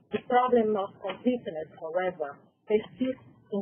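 Speech comes in a Portuguese accent. It unfolds fairly slowly. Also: woman. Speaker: health department researcher. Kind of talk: conference presentation read aloud. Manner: halting, non-native reading.

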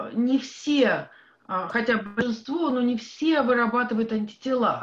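With a Russian accent, a woman talks at a fairly slow pace in a fairly high pitch over a quiet background. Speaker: audience member. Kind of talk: audience question. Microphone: video call.

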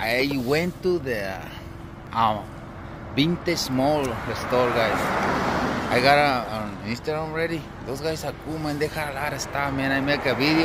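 A man at a moderate pace with ordinary pitch variation, dry sound with no echo, and loud background noise. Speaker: vlogger. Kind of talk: casual vlog chat. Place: street. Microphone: phone near.

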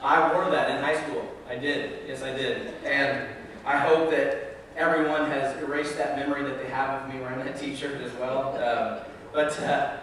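A man talks at a moderate pace in a flat monotone. Strong room echo and light background noise surround him. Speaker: pastor. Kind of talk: sermon. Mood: light, humorous. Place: church.

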